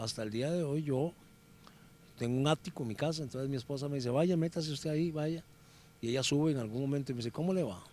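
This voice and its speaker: A man with a Costa Rican accent speaks very fast at a fairly high pitch. His tone is dark and mellow, with ordinary pitch variation. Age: 60s. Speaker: former footballer and sports commentator. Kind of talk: interview. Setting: workplace, lawyers' association.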